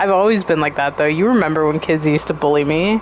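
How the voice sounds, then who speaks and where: A woman speaks in an animated tone amid noticeable background noise. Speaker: gaming livestreamer. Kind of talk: casual livestream chat while gaming.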